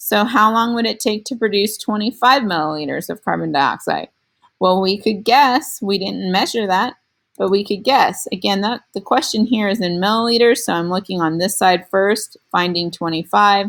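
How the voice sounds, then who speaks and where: A woman's ordinary speaking voice at a moderate pace, medium in pitch, with ordinary pitch variation. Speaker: science teacher. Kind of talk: lecture.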